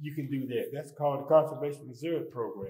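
The voice is a man's, dark and mellow in tone. There is audible room echo around it. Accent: Southern US. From Edgecombe County, North Carolina. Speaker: retired conservation official. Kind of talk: panel discussion.

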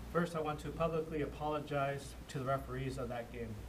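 Speech comes at a moderate pace. Noticeable background noise runs underneath. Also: man. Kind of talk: formal public apology statement. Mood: contrite, solemn. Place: meeting room. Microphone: podium.

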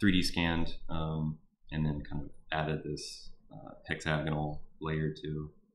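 A man's very deep, low voice with a Texan accent and monotone, flat intonation. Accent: Texan (US Southern) English. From Houston, Texas. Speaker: artist. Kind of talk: artist talk to a class via live stream. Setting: live stream. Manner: halting, many fillers.

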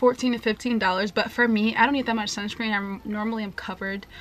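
Fast and fairly bright in tone, a woman talks with little pitch movement.

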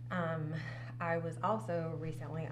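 A woman with an American accent talks with ordinary pitch variation over noticeable background noise. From New Jersey, near the Jersey Shore. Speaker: nonprofit organizing director. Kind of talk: casual interview. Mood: reflective, personal. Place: studio.

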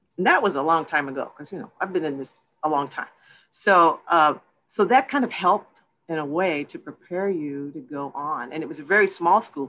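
A woman speaks in a Texan accent with lively intonation at a moderate pace over a quiet background. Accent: Texas American English. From Texas, San Antonio. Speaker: film producer. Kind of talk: interview.

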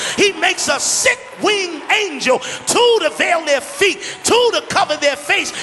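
A man with an American accent speaks in an extremely high, raised and projected voice, excited and intense, with lively intonation at a fairly slow pace over light background noise. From Brooklyn, New York. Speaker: preacher. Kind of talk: sermon. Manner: excited, intense. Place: church. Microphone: handheld.

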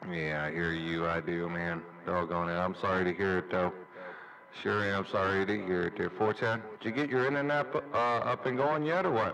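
Over noticeable background noise, a man speaks at a very deep, low pitch. His intonation is lively and his pace moderate. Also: very even loudness. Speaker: CB radio operator. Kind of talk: CB radio chat. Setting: CB radio transmission.

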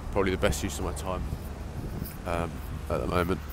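With noticeable background noise present, a man talks with ordinary pitch variation. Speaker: apprenticeship recruiter. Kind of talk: casual talk to camera.

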